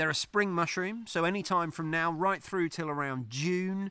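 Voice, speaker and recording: Bright and sharp in tone, a man speaks at a moderate pace. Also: dry sound with no echo. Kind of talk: tutorial. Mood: excited, delighted. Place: garden. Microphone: phone near.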